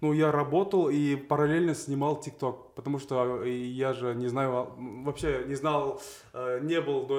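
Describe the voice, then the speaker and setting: Over noticeable background noise, a man with a fairly high voice speaks at a fairly slow pace, with fairly even intonation and big swings in loudness. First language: Kazakh (speaking Russian). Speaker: blogger, TikToker. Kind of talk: casual chat.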